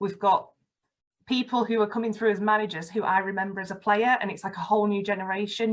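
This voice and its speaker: A woman in a Yorkshire accent talks at a very fast pace, her medium pitch held in fairly even intonation. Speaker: football fan and campaign ambassador. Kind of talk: podcast interview, personal testimony. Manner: articulate, radio-trained delivery.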